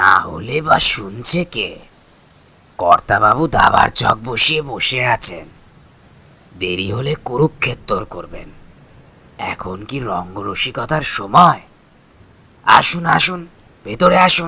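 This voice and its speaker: Putting on a character voice, a man speaks at a medium pitch with very wide pitch swings and big swings in loudness. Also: fairly slow pace. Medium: read story. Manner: jovial, overfamiliar, insistent.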